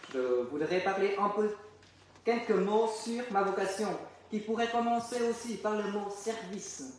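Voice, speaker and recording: A man with a Vietnamese accent speaks at a fairly slow pace with long, frequent pauses, in a high pitch with ordinary pitch variation. Noticeable background noise and audible room echo surround him. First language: Vietnamese (speaking French). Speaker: deacon. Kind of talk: testimony. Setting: chapel. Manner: halting.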